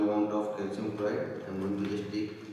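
Amid strong room echo and background music, a man speaks at a moderate pace. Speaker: science teacher. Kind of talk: lecture. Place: classroom. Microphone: camera far.

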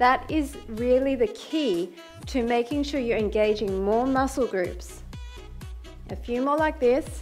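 Over faint background music, a woman with a high pitch speaks at a fairly slow pace. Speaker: fitness instructor. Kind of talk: workout instruction. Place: home room.

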